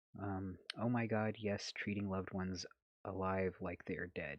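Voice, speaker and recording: Soft-spoken delivery over a quiet background. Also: man, dry, close sound with no echo. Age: 30s. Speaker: ex-Jehovah's Witness activist and vlogger. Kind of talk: casual live stream chat reading comments. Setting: late-night live stream at home. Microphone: holding phone very close.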